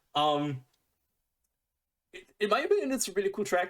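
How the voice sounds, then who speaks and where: A man talks at a very fast pace. He has a German accent. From Germany. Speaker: music reaction youtuber. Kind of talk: casual reaction commentary. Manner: animated; halting.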